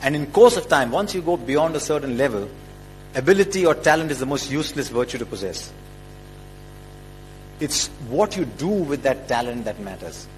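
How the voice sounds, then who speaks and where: A man with a fairly high pitch and lively intonation talks at a moderate pace, with long, frequent pauses. Noticeable background noise runs underneath. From India. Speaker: cricket commentator. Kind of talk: motivational speech.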